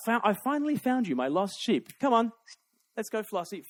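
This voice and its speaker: With an Australian accent, a man speaks at a high pitch with lively intonation in a dry, close sound with no echo. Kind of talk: public talk to live audience.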